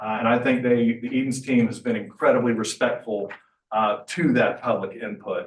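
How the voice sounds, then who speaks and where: At a moderate pace, a man speaks in an unremarkable speaking voice of medium pitch with ordinary pitch variation. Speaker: mayor. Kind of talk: public meeting presentation. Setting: public meeting.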